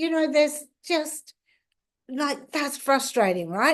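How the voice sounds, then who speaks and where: A woman speaks in an Australian accent. Her pitch is high. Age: 60s. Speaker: law of attraction coach. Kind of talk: casual talk to camera.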